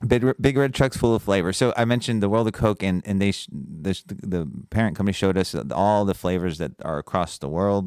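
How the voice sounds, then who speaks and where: Speaking at a fairly quick pace, a man with an ordinary speaking voice and fairly low pitch comes through on a very clean recording with a silent background. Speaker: chamber of commerce president and podcast host. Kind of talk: interview host, scripted intro then casual chat.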